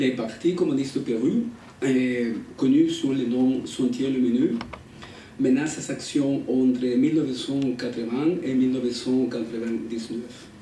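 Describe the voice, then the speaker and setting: Over noticeable background noise and audible room echo, a man speaks at a very slow pace and medium pitch with fairly even intonation. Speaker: academic researcher. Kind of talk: conference talk, reading prepared text. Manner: halting.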